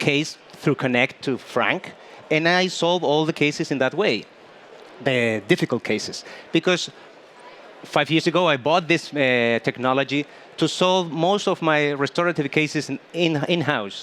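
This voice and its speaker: Speaking at a fairly slow pace with a Spanish accent, a man uses a fairly high pitch, ordinary pitch variation and very even loudness. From Chile. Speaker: dentist. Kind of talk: panel interview. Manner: halting.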